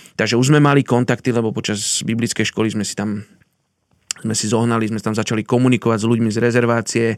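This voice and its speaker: His pitch is medium and his intonation monotone and flat. The man speaks at a very fast pace. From Slovakia. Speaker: missionary. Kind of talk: interview, personal story.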